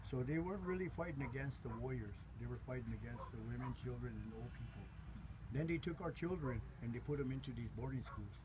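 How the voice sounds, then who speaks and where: A man with an American accent at a very fast pace, over noticeable background noise. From South Dakota, US. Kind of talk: interview conversation. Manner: halting, many fillers. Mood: earnest, grave. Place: tent. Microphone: camera far.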